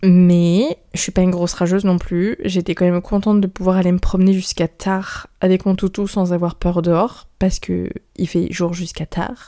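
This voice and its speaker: Over a silent background on a very clean recording, a woman with a dark, mellow tone and medium pitch talks at a moderate pace with fairly even intonation and hardly any pauses. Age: 20s. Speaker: podcaster. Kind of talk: casual monologue.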